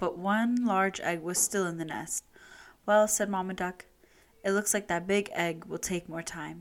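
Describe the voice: Someone reads aloud plainly, keeping the intonation fairly even.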